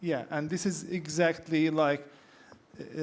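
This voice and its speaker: Monotone, flat intonation in an Arabic accent. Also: man. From Palestine. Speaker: artist, panelist. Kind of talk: panel discussion. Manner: halting.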